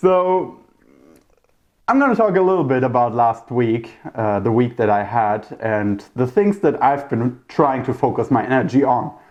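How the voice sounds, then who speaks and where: A man with a German accent speaks at a moderate pace and medium pitch. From Germany. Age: 30s. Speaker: podcast host. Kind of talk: casual monologue. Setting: talking to camera. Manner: talkative, rambling.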